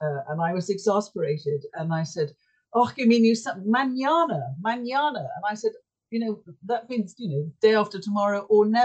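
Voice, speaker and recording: Her voice is medium in pitch and somewhat breathy, with very wide pitch swings. The woman speaks at a moderate pace. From Yorkshire, England. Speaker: author and sailor. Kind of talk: casual interview.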